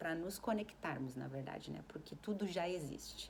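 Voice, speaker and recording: Very deep and low in pitch, a woman speaks in a calm tone with ordinary pitch variation, and audible room echo fills the recording. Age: 40s. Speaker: self-help vlogger. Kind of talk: casual reflective monologue. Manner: calm, conversational.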